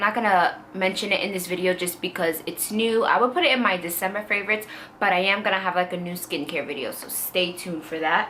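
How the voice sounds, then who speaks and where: Amid clear background noise and audible echo from the room, a woman speaks at a moderate speed. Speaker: beauty vlogger. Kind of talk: casual product review vlog.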